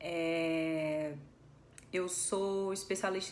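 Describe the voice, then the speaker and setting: A woman with a Ceará accent is heard with audible room echo. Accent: Northeastern Brazilian (Cearense). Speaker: physiotherapist and Pilates instructor. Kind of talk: live stream talk. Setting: Instagram live.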